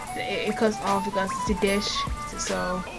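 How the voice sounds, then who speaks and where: A woman speaks at a moderate pace. Clear music can be heard in the background. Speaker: gaming vlogger. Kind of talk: casual vlog chat. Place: home room. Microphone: studio mic.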